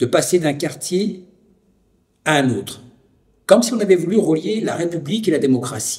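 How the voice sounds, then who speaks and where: Lively intonation from a man, high in pitch, at a moderate speed. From France, Lyon (Vénissieux suburbs). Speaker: documentary narrator and witness. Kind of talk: scripted narration. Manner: formal.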